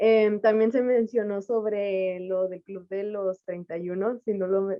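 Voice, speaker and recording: A woman with a Mexican accent, at a fairly slow pace and with fairly even intonation. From Mexico. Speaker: audience participant. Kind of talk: Q&A comment.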